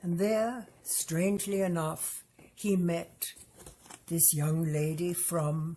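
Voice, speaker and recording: Her voice somewhat breathy and dark, mellow in tone, a woman speaks at a very slow pace with ordinary pitch variation. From Germany, Hamburg. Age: 80s+. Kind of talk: testimony.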